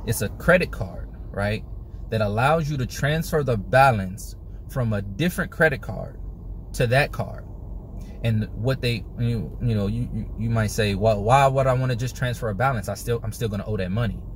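A man at a moderate pace with ordinary pitch variation, dry sound with no echo, and light background noise. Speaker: personal finance vlogger. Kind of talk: casual explainer vlog. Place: car. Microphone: phone near.

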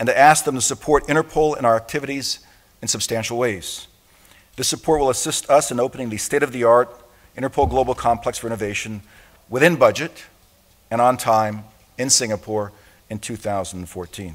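Long, frequent pauses break up a man's fairly quick speech. His pitch variation is ordinary. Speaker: international police organization secretary general giving an opening address. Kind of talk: formal conference opening address. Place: hall. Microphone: podium.

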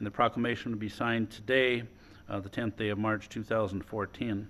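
At a moderate pace, a man with an American accent talks in a fairly low, monotone voice with flat intonation. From Wisconsin. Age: 50s. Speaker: mayor chairing city council. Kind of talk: council meeting chairing. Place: meeting room. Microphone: podium.

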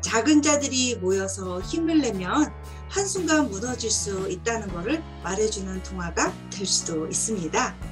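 Clear music plays behind a woman who speaks at a very slow pace. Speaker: book reviewer or storyteller. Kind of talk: book talk commentary. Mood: warm, animated. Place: home room. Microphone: webcam.

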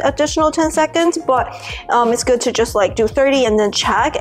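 Faint music plays in the background as a woman speaks at a high pitch with ordinary pitch variation. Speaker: product reviewer. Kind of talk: casual vlog chat. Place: kitchen.

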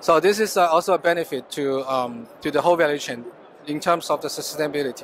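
Over light background noise, a man with a Chinese accent talks at a very fast pace, with dry sound and no echo. His pitch is fairly high, with ordinary pitch variation. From China. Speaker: business development manager at chemical company. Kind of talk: trade show interview. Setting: exhibition booth at trade fair. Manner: halting, with fillers and repetitions. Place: hall. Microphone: handheld.

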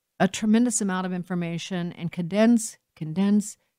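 Against a quiet background, a woman with an American accent speaks in fairly even intonation, the sound dry with no echo. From United States. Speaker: talk radio host. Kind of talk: radio talk show monologue. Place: studio.

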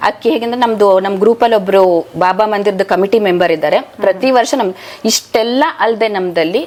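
Noticeable background noise surrounds a woman whose medium pitch shows ordinary variation. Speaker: devotional chanting group member. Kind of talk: interview testimony.

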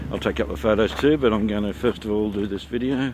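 Over noticeable background noise, a man with a fairly low pitch talks at a very fast pace in a dry sound with no echo. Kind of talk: casual vlog chat. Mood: excited, amazed. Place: open country. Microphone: phone near.

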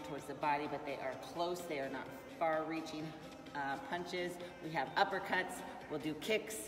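Clear music plays behind a woman who speaks at a fairly slow pace with a very deep, low pitch. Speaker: fitness coach. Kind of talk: live class instructions. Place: gym. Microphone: camera far.

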